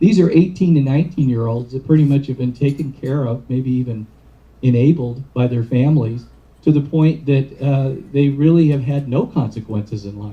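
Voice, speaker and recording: A somewhat breathy male voice of medium pitch, dark and mellow in tone, with ordinary pitch variation at a moderate pace. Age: 60s. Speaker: addiction treatment professional. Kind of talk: lecture. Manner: halting.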